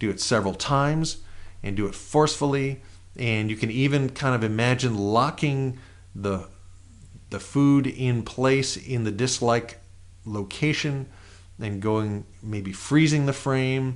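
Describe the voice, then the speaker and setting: Slow-paced and medium in pitch, this man has a plain, everyday voice. His pitch variation is ordinary. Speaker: NLP trainer. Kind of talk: guided exercise.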